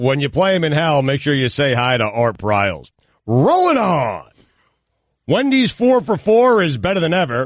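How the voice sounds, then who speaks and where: Against a quiet background, a man speaks in a sing-song way with a fairly high pitch, very wide pitch swings and very even loudness. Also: moderate pace. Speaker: sports news update anchor. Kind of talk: news reading. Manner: sing-song broadcasting voice.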